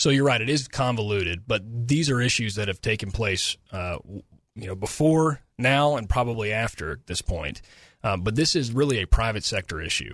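With an ordinary speaking voice, a man talks at a moderate pace in a medium pitch, his intonation lively against a quiet background. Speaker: governor's spokesman. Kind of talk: radio interview.

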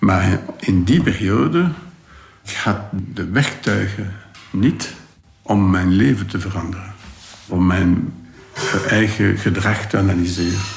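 A very deep, low male voice at a very slow pace, long, frequent pauses, fairly even intonation and noticeable background noise. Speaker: convicted gangster. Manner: halting, reflective.

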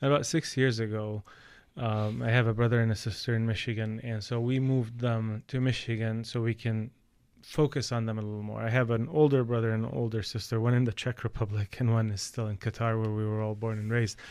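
Heard on a very clean recording with a silent background, a man with an Arabic accent and a medium pitch speaks at a fairly quick pace with fairly even intonation. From Palestine. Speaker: podcast host. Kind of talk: interview. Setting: studio.

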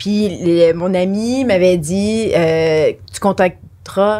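This woman has a fairly low pitch with ordinary pitch variation. It is an unremarkable speaking voice. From Franco-Ontarian. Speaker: former music TV VJ. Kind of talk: casual chat.

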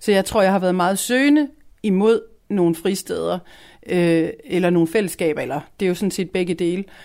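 At a moderate speed, a woman talks in a dark, mellow tone. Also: medium pitch for a woman, ordinary pitch variation, very clean recording, silent background. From Denmark, provincial town. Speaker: youth culture house staff member. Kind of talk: radio interview.

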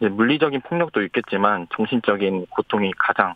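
A man with lively intonation at a moderate pace, over noticeable background noise. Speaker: bereaved family member. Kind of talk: phone interview. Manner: halting.

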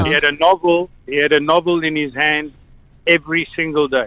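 Fairly high-pitched man with a South African accent, a fairly slow pace and monotone, flat intonation. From born in South Africa to Slovak parents. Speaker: radio caller. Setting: phone.

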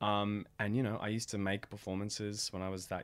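The voice has an Australian accent. Its intonation is monotone and flat. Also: man, very clean recording, silent background. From Australia, Melbourne. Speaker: actor, theatre director and playwright. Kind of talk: casual interview.

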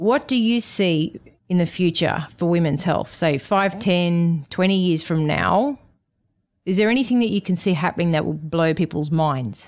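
A woman in an ordinary speaking voice, fairly low-pitched, with lively intonation and very even loudness at a moderate pace, on a very clean recording with a silent background. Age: 40s. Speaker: doctor and podcast host. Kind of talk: interview; scripted narration. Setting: in-person studio.

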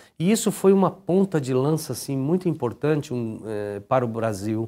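A man speaks at a fairly high pitch with a dark, mellow tone and very wide pitch swings. His pace is moderate, and the recording is very clean with a silent background. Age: 50s. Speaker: business executive. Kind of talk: interview.

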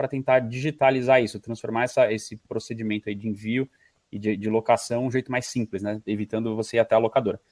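Very fast in pace, a man's speech comes through in a very clean recording with a silent background and a dry, close sound with no echo. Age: 30s. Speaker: streaming company representative. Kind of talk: casual interview.

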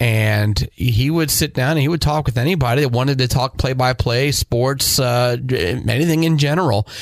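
A man with a normal speaking voice talks at a moderate pace in a medium pitch, with ordinary pitch variation, very even loudness and hardly any pauses. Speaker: podcast host and radio broadcaster. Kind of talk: casual chat.

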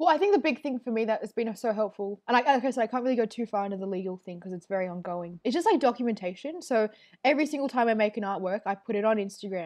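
With an Australian accent and lively intonation, a woman speaks at a very fast pace and fairly high pitch against a quiet background. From Melbourne western suburbs, Australia. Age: 20s. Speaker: comedian and artist. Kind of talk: casual interview.

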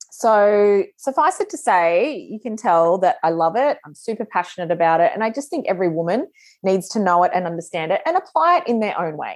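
Speaking at a fairly quick pace with hardly any pauses, a woman with an Australian accent uses a medium pitch, very wide pitch swings and big swings in loudness against a quiet background. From Australia, northern New South Wales. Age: 40s. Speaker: podcast host and business mentor. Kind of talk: solo podcast monologue. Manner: casual, chatty with filler words.

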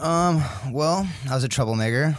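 A man with a Californian accent and ordinary pitch variation. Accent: Californian American. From US, California (Sacramento). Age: 20s. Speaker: firefighter. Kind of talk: casual interview chat.

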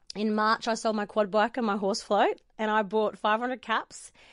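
An energetic woman with an Australian accent and a fairly high pitch, at a moderate pace against a quiet background. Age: 40s. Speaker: boutique owner and photographer. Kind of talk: interview.

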